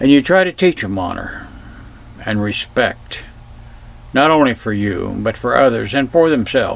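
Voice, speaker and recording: A man speaks at a moderate pace and a medium pitch, with long, frequent pauses. Noticeable background noise runs underneath. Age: 70s. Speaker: self-filmed commentator. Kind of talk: personal reflection monologue.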